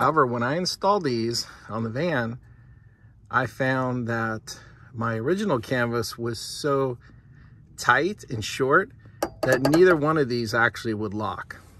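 A man with a medium-pitched voice and ordinary pitch variation speaks at a fairly slow pace, with long, frequent pauses and noticeable background noise. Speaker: YouTube vlogger. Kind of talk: tutorial. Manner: casual, explanatory.

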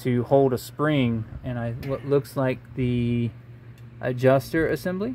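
A very slow pace over light background noise. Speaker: diy car repair narrator. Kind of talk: tutorial. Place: garage. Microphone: phone near.

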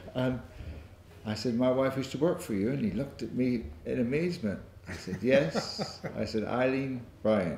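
There is light background noise and audible room echo. A man talks at a moderate pace. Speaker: interviewee. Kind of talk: interview answer. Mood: warm, amused. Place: hall.

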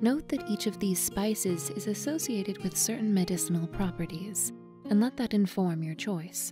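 Music plays in the background. Over it, a woman talks at a moderate pace. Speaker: professional voice actress. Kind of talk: recipe narration voiceover, read from a historical text.

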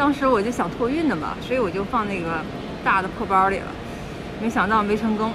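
Music playing behind, moderate speed, pitch varying in an ordinary way. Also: woman. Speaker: travel vlogger. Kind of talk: casual vlog chat. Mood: cheerful, laughing at times. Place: station. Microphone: phone near.

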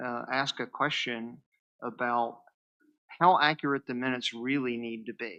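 Against a quiet background, a man with a West Virginia accent speaks at a medium pitch and a moderate pace, his tone bright and sharp and his intonation fairly even. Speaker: planning commission member. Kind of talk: public meeting remarks. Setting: board room meeting.

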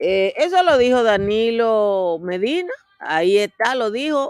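Against a quiet background, a woman with a fairly high pitch talks very slowly with lively intonation, the sound dry with no echo. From Dominican Republic. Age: 60s. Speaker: political commentator. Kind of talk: casual chat. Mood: animated, conversational. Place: garden. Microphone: webcam.

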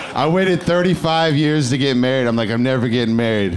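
A man talks with lively intonation. Light background noise can be heard. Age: 30s. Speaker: comedian. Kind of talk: stand-up; stand-up set and panel interview answers. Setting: stage with audience. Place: stage. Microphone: handheld.

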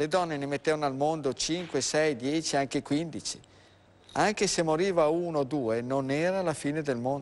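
A man with a plain, everyday voice at fairly high pitch, moderate pace and ordinary pitch variation. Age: 60s. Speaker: doctor; guest. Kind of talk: live TV health talk show. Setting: TV studio. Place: studio. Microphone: lapel.

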